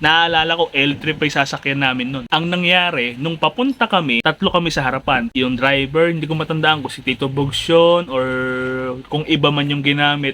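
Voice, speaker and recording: A man with a fairly high pitch and ordinary pitch variation talks at a fairly quick pace against noticeable background noise. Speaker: funeral parlor worker vlogger. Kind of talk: ghost story telling. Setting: vlog monologue to camera. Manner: animated, chatty storyteller who laughs at his own scare; conversational, fast, pausing to ask 'alam mo yun?'.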